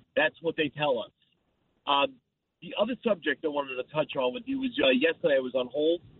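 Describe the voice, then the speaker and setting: A plain, everyday voice. A man talks at a fairly quick pace with fairly high pitch and lively intonation. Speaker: caller. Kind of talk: call-in radio. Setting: phone call.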